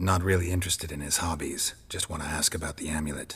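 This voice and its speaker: A man talks very fast in a put-on character voice. His pitch is very deep and low. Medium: video game. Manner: terse, deadpan.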